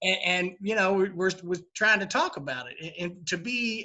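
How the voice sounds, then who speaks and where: A man with a high pitch talks at a fairly quick pace. He has a strong Kentucky accent and ordinary pitch variation. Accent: heavy Kentucky. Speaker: bourbon bar owner. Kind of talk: interview. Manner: halting, many fillers.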